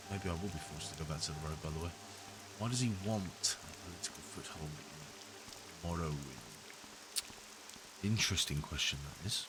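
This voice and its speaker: Amid noticeable background noise and audible room echo, a man with a British accent and a very deep, low pitch talks at a fairly quick pace with ordinary pitch variation and long, frequent pauses. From Britain. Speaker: gaming video creator. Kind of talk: let's play commentary. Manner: relaxed.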